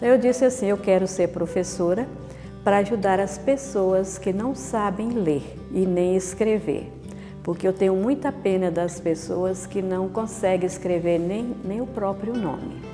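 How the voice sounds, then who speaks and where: Music plays in the background as a woman talks at a fairly slow pace. Her pitch is medium, with ordinary variation. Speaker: Dominican nun. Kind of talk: oral history interview answer.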